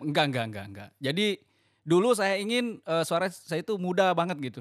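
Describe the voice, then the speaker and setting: A man talks at a high pitch and a fairly quick pace, with very wide pitch swings and big swings in loudness. The recording is very clean, with a silent background. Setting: radio.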